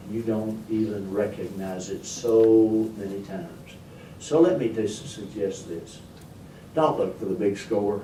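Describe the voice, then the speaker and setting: Audible room echo surrounds a man with a rural Kentucky accent. He talks at a fairly slow pace. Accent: rural Kentucky Southern. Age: 80s+. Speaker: storyteller and humorist. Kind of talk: after-dinner humorous talk. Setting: meeting room, speaking to a board. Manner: halting, repeats words.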